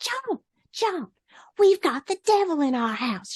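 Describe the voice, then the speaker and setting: A put-on character voice, female-sounding and squeaky, sits at an extremely high pitch with very wide swings. It moves at a fairly slow pace. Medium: read story.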